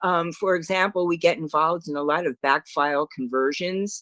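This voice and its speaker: The speaker has a New York accent and talks at a moderate pace. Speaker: records management consultant. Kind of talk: webinar presentation.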